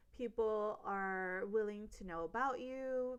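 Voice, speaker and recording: Speaking with an American accent, a woman uses lively intonation at a medium pitch. Her tone is animated. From US, Los Angeles. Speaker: podcast host. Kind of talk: casual monologue.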